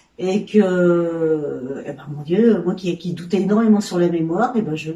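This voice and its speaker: A woman speaks at a fairly low pitch with ordinary pitch variation. Noticeable background noise runs underneath. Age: 60s. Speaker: sewing trainee. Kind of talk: testimony. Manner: halting.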